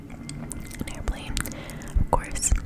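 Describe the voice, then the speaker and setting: A woman whispers over noticeable background noise. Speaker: ASMR creator. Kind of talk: ASMR scary story reading. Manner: whispered, soft-spoken.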